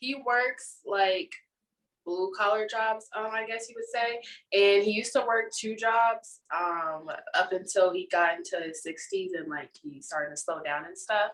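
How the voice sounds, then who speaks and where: A woman with a normal speaking voice talks at a fairly slow pace in a fairly high pitch, her intonation lively and her loudness swinging widely. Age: 20s. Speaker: podcast co-host. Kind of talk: casual chat.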